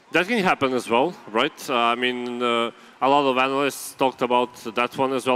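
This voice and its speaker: A man with a bright, sharp tone and medium pitch speaks at a moderate pace with ordinary pitch variation. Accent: Serbian. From Serbia. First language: Serbian. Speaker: esports analyst. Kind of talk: esports panel analysis. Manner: halting, many repeated words.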